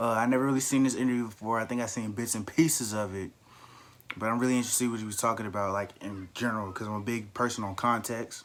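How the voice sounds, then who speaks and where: Talking at a very fast pace, a man keeps his intonation fairly even. His pitch is medium. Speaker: YouTube reaction creator. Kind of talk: casual vlog intro.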